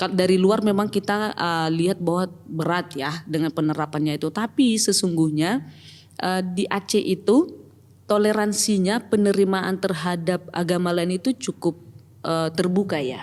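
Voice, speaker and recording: A woman with a North Sumatran accent speaks at a medium pitch. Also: ordinary pitch variation, moderate pace. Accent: Batak. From Batak region, North Sumatra. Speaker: church pastoral team member and company employee. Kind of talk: podcast interview.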